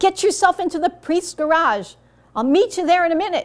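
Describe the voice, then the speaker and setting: A woman's squeaky, put-on character voice, pitched extremely high and moving at a fairly quick pace. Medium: read story. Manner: brisk, decisive.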